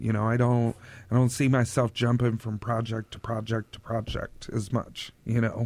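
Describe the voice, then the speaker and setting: Male speech on a very clean recording, the background silent. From Oklahoma. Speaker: store owner. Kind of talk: radio interview.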